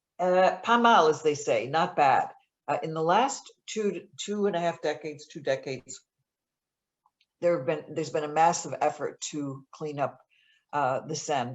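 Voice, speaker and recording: With a Buffalo accent, the speaker talks at a fairly slow pace with ordinary pitch variation. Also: woman, very deep, low pitch for a woman. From US, Buffalo, New York. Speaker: author and journalist. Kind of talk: author Q&A at virtual book event. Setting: virtual event, video call. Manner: many fillers, hesitant.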